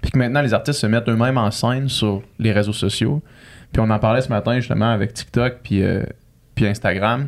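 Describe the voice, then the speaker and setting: On a very clean recording with a silent background, a speaker with a Quebec accent talks at a fairly quick pace with very even loudness and fairly even intonation. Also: man, medium pitch for a man. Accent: Québécois French. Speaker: podcast host. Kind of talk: casual chat.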